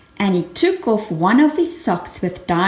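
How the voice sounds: The speaker reads in a natural reading voice.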